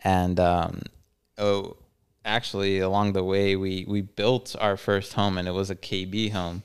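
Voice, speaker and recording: A man speaks at a fairly slow pace in a fairly low, monotone, flat voice. The recording is very clean, with a silent background. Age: 30s. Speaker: church member sharing testimony. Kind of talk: casual chat.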